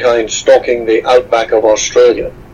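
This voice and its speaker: A man delivers his words at a fairly quick pace, with noticeable background noise behind him. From Scotland, west coast (Stranraer). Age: 60s. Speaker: explorer and author. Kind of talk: interview.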